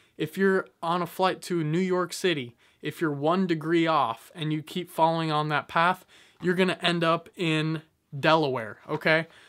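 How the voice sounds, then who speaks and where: The background is quiet. A man talks in a high voice with fairly even intonation. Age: 20s. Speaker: YouTuber giving business motivation. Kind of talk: motivational monologue to camera. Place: home room. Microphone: phone near.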